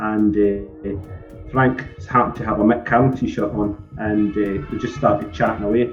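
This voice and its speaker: A man in a Scottish accent speaks with music in the background. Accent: Fife Scottish. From Scotland, Fife. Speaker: band member, keyboard player. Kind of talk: casual interview.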